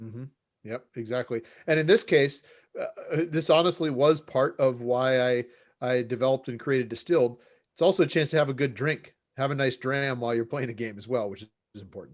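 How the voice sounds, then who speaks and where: In an American accent, a man talks at a fairly quick pace with ordinary pitch variation and long, frequent pauses. The recording is very clean, with a silent background. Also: medium pitch for a man, big swings in loudness. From United States. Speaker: game designer and professor. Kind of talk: interview. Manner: hesitant, many fillers and repeats.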